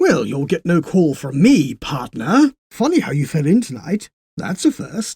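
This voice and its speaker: A put-on character voice at a middle pitch moves along at a moderate pace. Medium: read story. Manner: dry, unflappable, cryptic.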